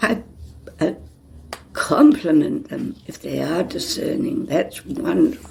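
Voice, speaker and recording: In a New Zealand accent, the speaker moves at a very slow pace with long, frequent pauses and big swings in loudness. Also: woman. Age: 80s+. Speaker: nun. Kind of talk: interview.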